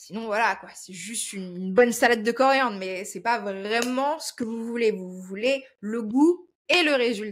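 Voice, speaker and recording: Barely pausing, a woman talks at a moderate pace with a fairly high pitch, ordinary pitch variation and big swings in loudness. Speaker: nutrition and wellness presenter. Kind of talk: informal explanatory talk to viewers. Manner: halting, with frequent hesitations.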